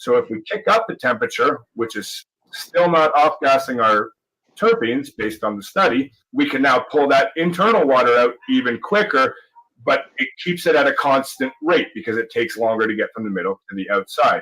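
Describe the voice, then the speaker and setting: With a Canadian accent, a man uses a bright, sharp tone and a fairly high pitch, swinging very widely in pitch at a moderate pace. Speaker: cannabis grower. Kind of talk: explanatory talk in a played video clip.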